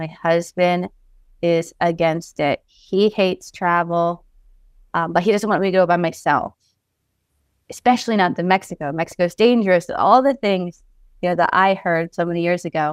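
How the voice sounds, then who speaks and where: A woman with an American accent and a fairly low voice speaks at a moderate pace with fairly even intonation, in a dry, close sound with no echo. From US Northeast, Pennsylvania. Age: 30s. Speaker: author and publisher. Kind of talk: casual interview chat.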